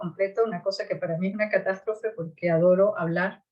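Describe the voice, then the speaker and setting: A woman speaks in a plain, everyday voice. Her pitch sits in the medium range with ordinary variation. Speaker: podcast co-host. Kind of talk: casual conversation.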